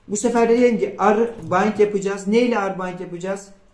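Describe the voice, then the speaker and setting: A man's high-pitched voice comes through noticeable background noise and audible room echo. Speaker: programming instructor. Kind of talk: tutorial.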